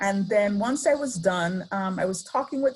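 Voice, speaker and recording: Talking at a fairly slow pace, a woman with an Antiguan accent has a medium pitch, lively intonation and a somewhat breathy voice. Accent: Antiguan Caribbean. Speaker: professor. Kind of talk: lecture. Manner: hesitant, many fillers.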